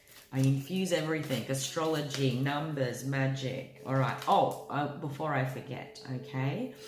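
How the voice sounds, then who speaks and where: A woman with a very deep, low pitch and ordinary pitch variation speaks at a fairly slow pace with hardly any pauses. Audible room echo and noticeable background noise are present. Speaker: tarot reader. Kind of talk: tarot reading monologue.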